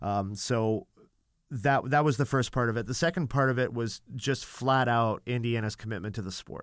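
In a Canadian accent, a man with a normal speaking voice talks at a medium pitch and moderate pace with ordinary pitch variation, on a very clean recording with a silent background. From Canada. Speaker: college volleyball head coach. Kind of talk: interview. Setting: studio.

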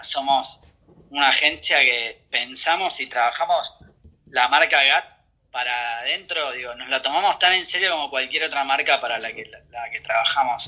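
Here a man speaks with a bright, sharp tone. His loudness swings widely. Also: fairly high pitch for a man, ordinary pitch variation, moderate pace. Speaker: advertising agency executive. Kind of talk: interview.

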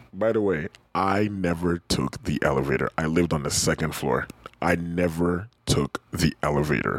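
A man with a very deep, low pitch speaks in an animated tone at a moderate pace, with ordinary pitch variation and very even loudness. The sound is dry and close with no echo, and there is noticeable background noise. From Ghana. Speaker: podcast co-host. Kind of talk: casual chat. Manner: animated, laughing often.

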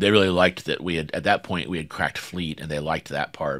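Recorded very cleanly against a silent background, a man with an American accent talks at a very fast pace. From US South. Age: 50s. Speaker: startup founder and CEO. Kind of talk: interview.

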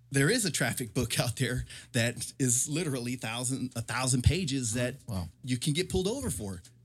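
The speaker has an American accent and a somewhat breathy voice with lively intonation. The pace is fairly quick, and the recording is very clean over a silent background. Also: man, medium pitch for a man. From San Diego, California. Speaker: police officer. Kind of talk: casual chat.

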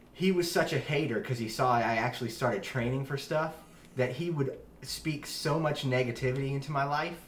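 Somewhat breathy, a man speaks at a fairly quick pace, his medium pitch showing ordinary variation. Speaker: podcast host. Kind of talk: interview chat. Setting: in-person around a table.

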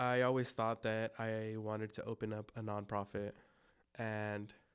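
A man with a Spanish accent, medium pitch, monotone and flat intonation, a very slow pace, and a very clean recording with a silent background. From Los Angeles, San Gabriel Valley (El Monte). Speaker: youth minister and cold brew coffee business owner. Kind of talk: casual interview.

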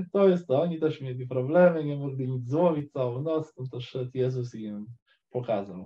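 Somewhat breathy, a man's voice moves through big swings in loudness. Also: medium pitch for a man, ordinary pitch variation, moderate pace. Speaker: caller. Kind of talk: casual faith conversation. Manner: halting.

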